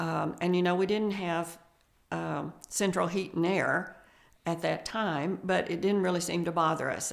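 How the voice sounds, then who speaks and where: Speaking at a fairly slow pace, a woman uses a fairly low pitch with vocal fry. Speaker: family elder recalling childhood. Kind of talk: oral history interview. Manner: halting, with frequent fillers.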